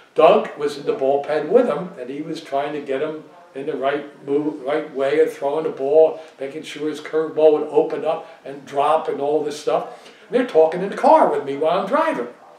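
In a room with audible echo, a man speaks with big swings in loudness. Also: ordinary pitch variation, moderate pace. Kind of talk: interview answer, storytelling. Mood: relaxed, nostalgic. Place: home room.

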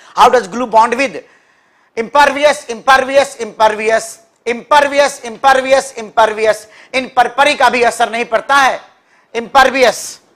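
A man speaks at a moderate pace in an extremely high pitch, his tone bright and sharp and his intonation fairly even, against a quiet background. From India. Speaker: English teacher for competitive exams. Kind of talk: live online class. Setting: live stream. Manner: repetitive drilling of words. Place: classroom.

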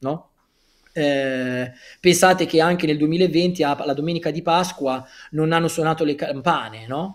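Against a quiet background, a man talks at a fairly slow pace with fairly even intonation and long, frequent pauses. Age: 30s. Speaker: author; guest. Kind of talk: interview. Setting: livestream. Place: home room. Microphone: earbuds.

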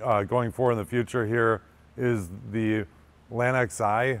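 The man talks slowly, with fairly even intonation.

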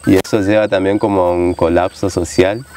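The recording is dry with no echo, though noticeable background noise is present. A man with a fairly low voice speaks at a fairly slow pace. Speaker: kayak guide. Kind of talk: documentary interview talk. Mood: calm, thoughtful. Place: waterside.

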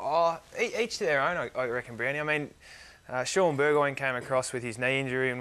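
A man talks at a very fast pace with an Australian accent. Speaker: professional footballer; guest. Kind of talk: interview. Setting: studio. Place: studio. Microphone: lapel.

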